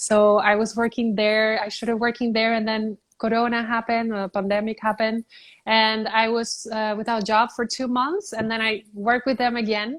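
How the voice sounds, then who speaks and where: Speaking at a moderate pace in a fairly high pitch, a woman with a Spanish accent is heard in a very clean recording with a silent background. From Puerto Rico. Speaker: beauty pageant titleholder. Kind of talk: interview. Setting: live stream from her apartment.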